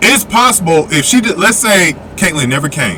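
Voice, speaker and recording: A man speaks loudly, his pitch swinging very widely. Noticeable background noise runs under his voice. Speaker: basketball commentary youtuber. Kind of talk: opinion commentary.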